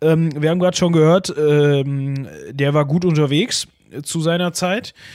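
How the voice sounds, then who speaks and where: On a very clean recording with a silent background, a man talks at a very slow pace. His pitch is fairly high, with ordinary pitch variation. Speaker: podcast co-host. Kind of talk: casual history chat.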